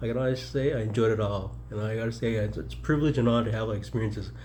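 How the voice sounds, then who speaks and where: Very fast speech from a man with a fairly low, somewhat breathy voice, a dark, mellow tone, ordinary pitch variation, and audible room echo. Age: 60s. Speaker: mayoral candidate and military veteran. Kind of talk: casual personal reflection vlog. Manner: rambling, halting with fillers.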